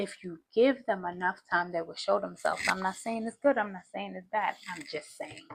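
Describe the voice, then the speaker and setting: A woman at a medium pitch talks at a moderate pace with hardly any pauses, showing vocal fry, ordinary pitch variation and big swings in loudness. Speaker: tarot reader. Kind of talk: tarot reading.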